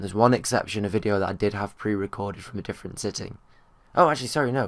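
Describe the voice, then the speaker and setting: A man speaks very fast with a British accent, his fairly low voice carrying vocal fry and ordinary pitch variation. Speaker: vlogger and gamer. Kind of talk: casual talk to camera.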